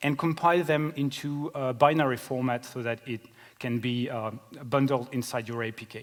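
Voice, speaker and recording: A man with a French accent at a moderate pace, his pitch medium and his intonation fairly even, with big swings in loudness. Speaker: software engineer. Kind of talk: conference talk. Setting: stage with audience. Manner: hesitant, many fillers.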